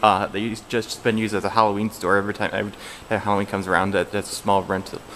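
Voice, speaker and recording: A man with a fairly low pitch talks at a very fast pace in a monotone, flat intonation over noticeable background noise. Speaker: mall vlogger. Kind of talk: casual vlog narration. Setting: indoors in a mall.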